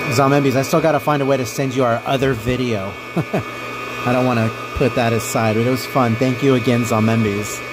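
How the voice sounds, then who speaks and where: The speech moves at a fairly quick pace in a monotone, flat intonation and very even loudness, with audible room echo and noticeable background noise. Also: man, medium pitch for a man. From US, not Texas (Texan parents). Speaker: streamer. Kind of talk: casual live stream chat.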